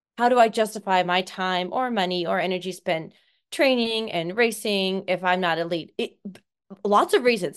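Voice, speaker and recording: A woman's unremarkable speaking voice with an American accent, medium pitch, ordinary pitch variation and moderate pace over a quiet background. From Seattle, Washington, US. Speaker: obstacle course racing athlete. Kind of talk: casual interview chat.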